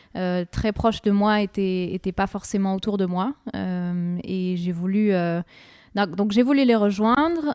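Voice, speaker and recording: A woman's dark, mellow tone at a fairly slow pace, with a dry, close sound and no echo. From France (Strasbourg, Alsace). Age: 20s. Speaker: oboist, orchestra musician. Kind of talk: radio interview. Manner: hesitant, many fillers.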